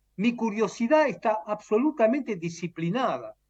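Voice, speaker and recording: This man's voice is high-pitched. He talks at a fairly slow pace. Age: 70s. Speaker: retired professor and author. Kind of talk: interview.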